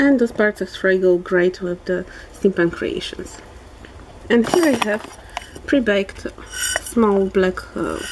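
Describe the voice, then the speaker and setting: A woman talks at a fairly slow pace while noticeable background noise runs underneath. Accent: Polish. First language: Polish. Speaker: polymer clay crafter. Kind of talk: tutorial. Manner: halting.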